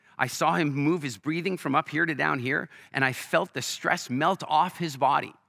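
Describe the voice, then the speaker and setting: On a very clean recording with a silent background, a man with an American accent speaks at a moderate pace and a fairly high pitch. His tone is animated, bright and sharp, with vocal fry and ordinary pitch variation. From Canada. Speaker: entrepreneur and business speaker. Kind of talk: stage interview with storytelling. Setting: stage with live audience.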